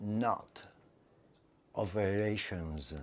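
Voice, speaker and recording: A man with an Italian accent, fairly low in pitch, with ordinary pitch variation and a very slow pace. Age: 70s. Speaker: retired English teacher and artist. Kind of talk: interview. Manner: halting, many fillers.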